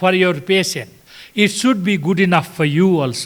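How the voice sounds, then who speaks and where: High-pitched male voice with lively intonation at a moderate pace. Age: 80s+. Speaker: hospital founder and doctor. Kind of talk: conference talk. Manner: halting.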